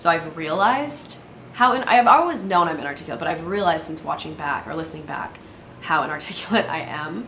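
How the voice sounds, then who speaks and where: With audible room echo and noticeable background noise, a woman speaks at a very fast pace in a fairly low pitch. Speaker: solo podcast host. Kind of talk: casual monologue. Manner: fast, filler-heavy.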